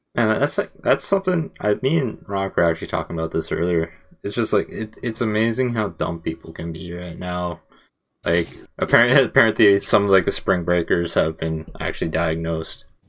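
On a very clean recording with a silent background, a man talks at a fairly quick pace in an unremarkable speaking voice, fairly low in pitch with ordinary pitch variation. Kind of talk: casual chat. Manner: casual, joking.

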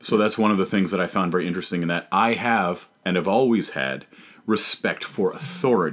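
This is a plain, everyday voice with ordinary pitch variation, moving at a fairly quick pace. The recording is very clean, with a silent background. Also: man, fairly low pitch for a man. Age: 30s. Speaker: stand-up comedian. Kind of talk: casual chat.

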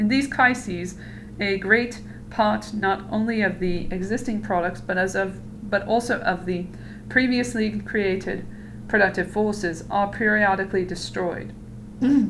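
A woman's medium-pitched, fairly slow delivery with ordinary pitch variation, an ordinary speaking voice. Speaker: podcast host reading aloud. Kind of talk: reading aloud of a text. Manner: casual, joking, swears a lot.

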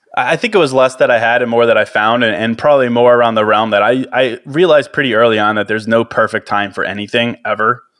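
With an American accent, a man speaks at medium pitch and a very fast pace, barely pausing, his intonation fairly even. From US Midwest (Chicago). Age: 30s. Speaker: podcaster. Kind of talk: casual chat.

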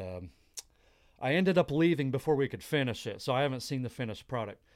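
On a very clean recording with a silent background, a man with an ordinary speaking voice talks at a medium pitch with lively intonation. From Texas, Dallas area. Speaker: mechanical technician. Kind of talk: interview storytelling.

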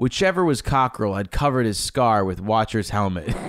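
A man with an unremarkable speaking voice, fairly low in pitch and with lively intonation, is heard on a very clean recording with a silent background. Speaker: podcast host. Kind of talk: reading aloud; casual chat.

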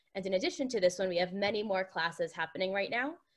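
A woman talks in an ordinary speaking voice at a medium pitch. Her intonation is fairly even. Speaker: program moderator. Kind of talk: formal introduction.

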